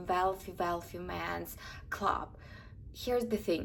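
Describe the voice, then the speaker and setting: A woman speaks with an Eastern European accent. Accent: Slavic. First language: Russian. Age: 20s. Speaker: lifestyle vlogger. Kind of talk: casual advice talk to camera.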